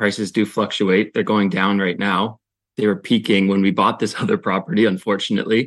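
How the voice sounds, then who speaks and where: A man with a normal speaking voice, fairly low in pitch, at a moderate pace against a quiet background. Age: 30s. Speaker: podcast guest discussing couple's finances. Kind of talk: casual interview conversation.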